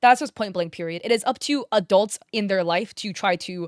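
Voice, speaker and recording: A woman with an unremarkable speaking voice talks at a fairly quick pace in a medium pitch with ordinary pitch variation, the sound dry and close with no echo. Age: 20s. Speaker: YouTube drama commentator and streamer. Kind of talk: online drama commentary. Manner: casual, conversational with filler words.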